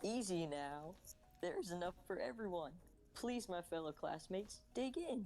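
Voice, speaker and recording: A female-sounding, put-on character voice at a middle pitch speaks at a moderate pace over clear background noise. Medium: actual play. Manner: courteous, measured.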